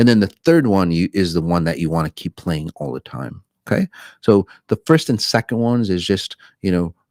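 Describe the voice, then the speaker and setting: A man speaks at a very deep, low pitch with ordinary pitch variation. The sound is dry and close, with no echo. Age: 60s. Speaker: spiritual self-help teacher. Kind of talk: live stream talk with viewer questions. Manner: halting, many fillers and repetitions.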